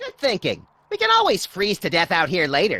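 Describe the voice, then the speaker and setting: In a put-on character voice, a female-sounding speaker talks at a fairly quick pace in a middle pitch. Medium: video game. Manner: manic, gleeful.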